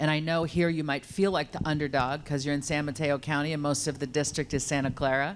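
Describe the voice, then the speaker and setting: Someone with an American accent talks at a fairly quick pace, keeping the intonation fairly even. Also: woman. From US Midwest and East Coast. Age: 50s. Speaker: political candidate, city council member. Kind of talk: candidate introduction speech.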